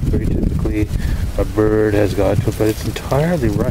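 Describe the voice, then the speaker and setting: The sound is dry, with no echo. Loud background noise is present. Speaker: gardener filming berries. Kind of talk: casual talk to camera. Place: garden. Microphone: phone near.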